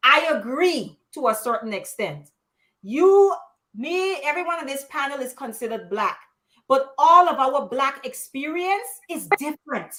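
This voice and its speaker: Her pitch high and her tone bright and sharp, a woman talks at a fairly slow pace with lively intonation. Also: big swings in loudness. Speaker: panelist. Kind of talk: live panel discussion. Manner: frank, emphatic.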